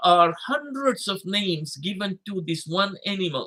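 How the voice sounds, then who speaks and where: Raised and projected, a man's high-pitched voice carries ordinary pitch variation. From Fiji. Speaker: imam and Islamic scholar. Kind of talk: livestreamed religious lecture.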